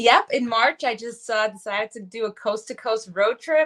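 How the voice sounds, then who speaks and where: A woman with a New York accent, fairly high in pitch, at a moderate pace against a quiet background. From New York City area. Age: 40s. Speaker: wellness coach. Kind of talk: podcast interview, personal testimony.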